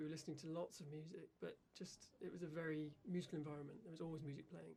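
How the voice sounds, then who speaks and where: Speaking at a very fast pace, a man uses a high-pitched voice. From West Country, England (Gloucester). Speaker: professional harpsichordist. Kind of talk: radio interview.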